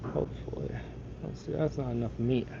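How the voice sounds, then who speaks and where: A fairly slow voice in an American accent, with noticeable background noise. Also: man. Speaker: car wrap installer streaming live. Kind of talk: live stream chat while working. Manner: mumbling at times.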